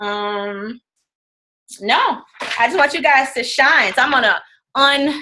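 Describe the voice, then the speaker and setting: A woman's high, bright and sharp voice with lively intonation, in a very clean recording with a silent background. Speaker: fitness business coach. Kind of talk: team training call. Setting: conference call. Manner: fast.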